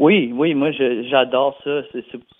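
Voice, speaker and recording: Fairly even intonation marks a man speaking at a medium pitch. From New Brunswick, Canada (Dieppe, near Moncton). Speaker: country pop singer. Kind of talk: interview. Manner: halting, many repetitions and fillers.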